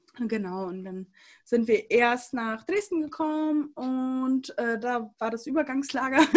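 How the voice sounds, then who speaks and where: Speaking at a very slow pace, a woman with a high voice uses lively intonation and big swings in loudness, recorded very cleanly against a silent background. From Germany, came from Siberia at age 3-4. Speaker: church youth podcast co-host. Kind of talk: casual chat.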